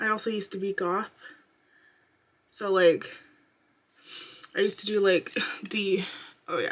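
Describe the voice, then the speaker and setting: Quiet and monotone, a woman speaks in a flat intonation with long, frequent pauses. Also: medium pitch for a woman, moderate pace. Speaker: beauty vlogger. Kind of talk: makeup tutorial. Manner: casual, filler-heavy.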